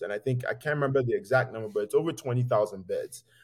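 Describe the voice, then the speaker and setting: Here a man talks at a very fast pace. His voice has a dark, mellow tone and is somewhat breathy. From Nigeria. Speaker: physician and healthcare executive. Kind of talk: interview conversation.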